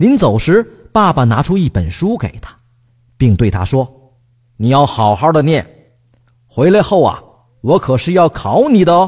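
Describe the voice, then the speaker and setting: This man talks at a fairly slow pace, somewhat breathy. His pitch swings very widely. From Northeast China. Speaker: radio talk show host. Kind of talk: reading a children's story aloud; casual comedic chat. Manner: animated.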